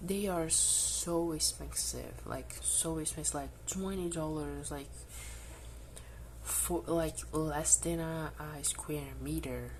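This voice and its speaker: A woman with a Brazilian accent at a very slow pace, over noticeable background noise. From Brazil, northeast. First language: Portuguese. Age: 20s. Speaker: cross-stitch hobbyist, student. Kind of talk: casual talk to camera.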